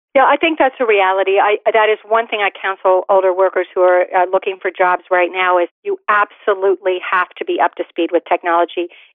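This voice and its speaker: A woman speaks in a plain, everyday voice at a medium pitch with ordinary pitch variation. Her pace is fairly quick, with hardly any pauses. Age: 50s. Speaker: career expert and author. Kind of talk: radio interview.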